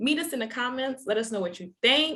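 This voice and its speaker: A woman talks at a moderate pace with lively intonation in a plain, everyday voice. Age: 30s. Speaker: show host. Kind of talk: casual chat.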